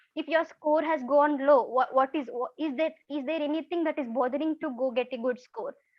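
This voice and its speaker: Her high-pitched voice runs at a fairly quick pace with hardly any pauses, and this woman uses ordinary pitch variation. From India, Karnataka. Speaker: former scholarship student, engineer. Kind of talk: testimony. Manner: fast; halting.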